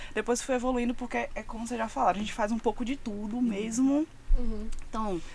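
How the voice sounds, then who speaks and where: A woman with a normal speaking voice talks at a fairly quick pace. Her pitch is fairly high and her intonation fairly even. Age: 20s. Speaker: music communications agency partner. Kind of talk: casual chat.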